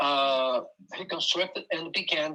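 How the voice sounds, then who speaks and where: Fairly high in pitch and bright, sharp in tone, a man with a Brazilian Portuguese accent talks at a fairly slow pace. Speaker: conductor, son of a musician. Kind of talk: interview storytelling. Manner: halting, many hesitations.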